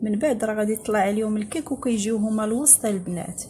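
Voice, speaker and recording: A woman is speaking. Light background noise runs behind her. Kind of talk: tutorial. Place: kitchen.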